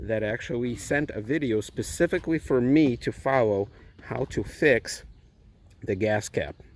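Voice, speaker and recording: A man speaks with a Russian accent. His pace is fairly slow. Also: medium pitch for a man, ordinary pitch variation, very clean recording, silent background. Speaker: car owner vlogger. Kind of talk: DIY tutorial; casual vlog outro. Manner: casual.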